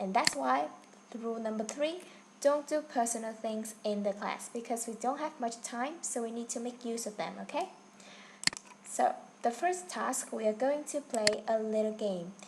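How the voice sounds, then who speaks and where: With lively intonation and a fairly high pitch, a woman speaks at a moderate pace over noticeable background noise. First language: Vietnamese. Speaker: online English teacher. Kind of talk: online class instruction. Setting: online video class.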